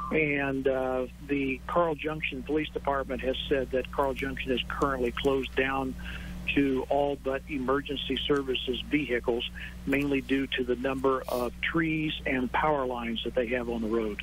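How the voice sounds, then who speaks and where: There is noticeable background noise as a man speaks at a moderate speed. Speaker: county emergency manager. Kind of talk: live TV interview answer on storm damage.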